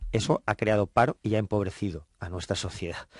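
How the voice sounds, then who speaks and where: Speaking at a fairly quick pace, a man keeps his intonation fairly even and his pitch fairly low. The sound is dry with no echo, and the background is quiet. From Spain. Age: 40s. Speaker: politician. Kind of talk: radio interview. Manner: halting. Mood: friendly, smiling. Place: studio. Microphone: studio mic.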